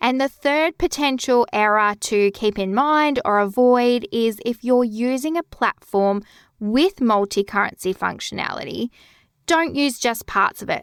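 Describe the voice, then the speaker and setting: Calm in tone, a woman speaks in an Australian accent at a fairly slow pace, her high pitch moving with lively intonation. The very clean recording has a silent background and a dry, close sound with no echo. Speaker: bookkeeping podcast host. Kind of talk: podcast tutorial.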